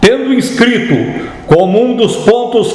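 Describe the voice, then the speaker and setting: Noticeable background noise sits behind a man whose pitch is extremely high. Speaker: narrator reading a historical political text. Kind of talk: formal historical manifesto reading.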